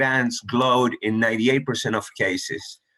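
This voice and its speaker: At a moderate pace, a man of medium pitch talks in an unremarkable speaking voice. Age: 60s. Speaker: surgeon. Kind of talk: lecture. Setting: webinar.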